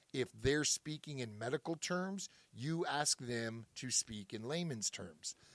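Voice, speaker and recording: A man with an ordinary speaking voice talks at a medium pitch and a fairly slow pace. His intonation is lively, and the sound is dry and close with no echo. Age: 50s. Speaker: podcast co-host, former 911 dispatcher. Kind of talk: casual podcast chat.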